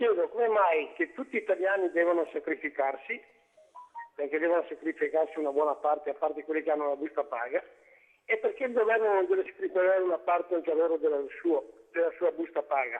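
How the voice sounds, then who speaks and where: Here a man talks at a very fast pace. Long, frequent pauses break up his speech. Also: very even loudness. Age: 70s. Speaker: caller. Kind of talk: phone-in question. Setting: phone call.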